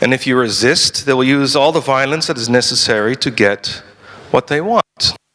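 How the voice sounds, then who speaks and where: A man's medium-pitched voice with a Dutch accent, ordinary pitch variation and a moderate pace. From Netherlands. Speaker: lawyer and libertarian activist. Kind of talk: conference talk. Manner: halting, with frequent repetitions.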